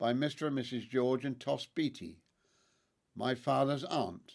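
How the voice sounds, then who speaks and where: At a moderate pace, a man speaks at medium pitch with vocal fry. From southern England, Hampshire. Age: 80s+. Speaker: podcast host, family history narrator. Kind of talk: storytelling narration. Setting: at home. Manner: calm, reflective.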